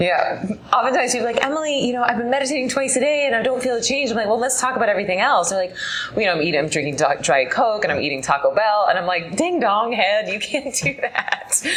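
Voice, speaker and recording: Over noticeable background noise, a woman speaks at a very fast pace in a fairly high pitch with very wide pitch swings. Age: 30s. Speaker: meditation teacher. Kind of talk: interview chat.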